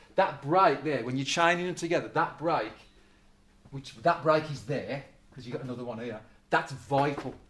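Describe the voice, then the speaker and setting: Fairly quick speech from a man, fairly high in pitch, with ordinary pitch variation. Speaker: guitar teacher. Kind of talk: group music lesson. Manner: fast; halting, many false starts.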